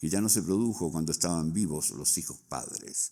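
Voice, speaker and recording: A man's very deep, low voice with vocal fry and a dark, mellow tone, lively intonation at a moderate pace, on a very clean recording with a silent background. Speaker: book launch speaker. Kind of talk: reading aloud. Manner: formal.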